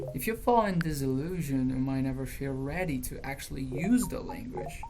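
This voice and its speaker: With music in the background, a woman with a Brazilian accent speaks at a fairly quick pace, her very deep, low pitch carried by lively intonation. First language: Portuguese. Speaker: language learning youtuber. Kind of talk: opinion monologue.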